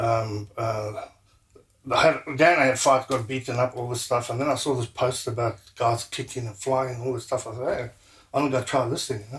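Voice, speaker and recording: A man speaks at a moderate pace with a medium pitch. His voice is somewhat breathy, and his intonation stays fairly even. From South Africa, Durban. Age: 60s. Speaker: martial arts instructor. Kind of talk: interview.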